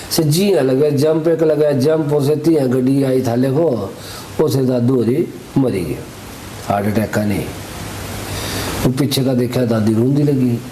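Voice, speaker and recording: Amid noticeable background noise, a man with a Pahadi accent speaks at a medium pitch with ordinary pitch variation, very even loudness and long, frequent pauses. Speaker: wedding photographer and vlogger. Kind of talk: storytelling in pahadi dialect. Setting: outdoors.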